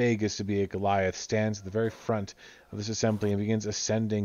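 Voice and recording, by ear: The voice is natural. It belongs to someone reading aloud.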